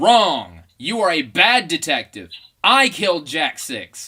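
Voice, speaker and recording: A man puts on a character voice with a high pitch and very wide pitch swings. The recording is very clean with a silent background. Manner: menacing, triumphant.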